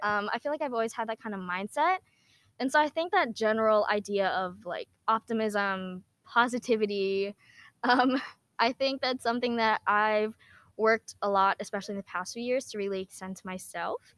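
Speaking in a plain, everyday voice with an American accent, a woman talks at a moderate pace with fairly high pitch and ordinary pitch variation. The recording is very clean with a silent background, and the sound is dry and close with no echo. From US Northeast, New Jersey. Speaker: university student and YouTuber. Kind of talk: casual interview chat. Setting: outdoors.

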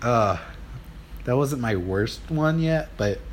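A man with lively intonation over noticeable background noise. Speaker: podcaster. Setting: recording into a mic. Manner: casual, self-deprecating, joking.

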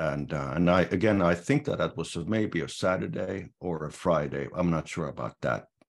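Over a quiet background, a man speaks with a Finnish accent at a moderate pace. His voice is very deep and low, with lively intonation. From Finland. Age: 60s. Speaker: sauna society president. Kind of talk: interview. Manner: halting.

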